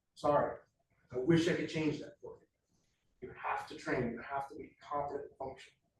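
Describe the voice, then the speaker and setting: Against audible room echo, a man with a fairly high pitch talks at a fairly quick pace, leaving long, frequent pauses and making big swings in loudness. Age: 50s. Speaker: self-defense instructor. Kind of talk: lecture. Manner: animated.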